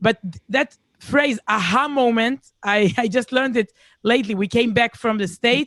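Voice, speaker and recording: With an Israeli accent, a woman speaks at a moderate pace in a fairly high pitch with ordinary pitch variation. The sound is dry and close with no echo, against a quiet background. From Israel, Herzliya near Tel Aviv. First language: Hebrew. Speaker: speaker. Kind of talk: casual chat. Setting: video call.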